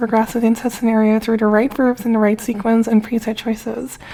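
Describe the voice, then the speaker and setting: This woman talks very fast in a high voice, mumbling her words. Her intonation stays flat and monotone throughout. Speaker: video game commentator. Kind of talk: explainer narration.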